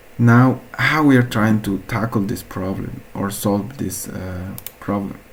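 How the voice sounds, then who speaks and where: Against noticeable background noise, a man with a fairly low pitch and an Andean accent speaks with ordinary pitch variation. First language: Quechua. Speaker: researcher presenting a hackathon project. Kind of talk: project presentation. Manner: halting, with frequent fillers.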